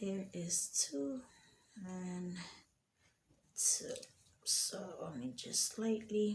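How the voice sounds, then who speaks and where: With lively intonation and a medium pitch, a soft-spoken, somewhat breathy woman talks at a very slow pace with long, frequent pauses. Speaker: home gardener. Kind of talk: tutorial.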